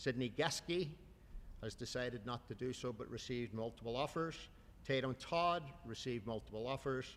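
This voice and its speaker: The speech moves at a moderate pace with an Irish accent and ordinary pitch variation. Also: man, medium pitch for a man. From Ireland. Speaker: youth soccer coach. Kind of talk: award ceremony speech.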